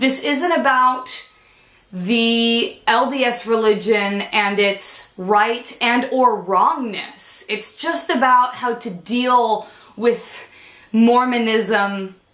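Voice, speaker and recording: The room echo is audible as a woman talks. Her pitch is fairly high, with ordinary variation. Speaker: vlogger. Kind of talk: personal vlog talk to camera.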